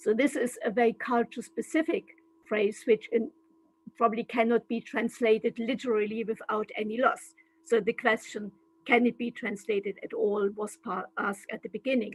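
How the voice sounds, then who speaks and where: A woman speaks with a German accent at a fairly high pitch. The sound is dry and close, with no echo. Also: ordinary pitch variation, moderate pace. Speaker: translation studies professor. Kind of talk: lecture. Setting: video call.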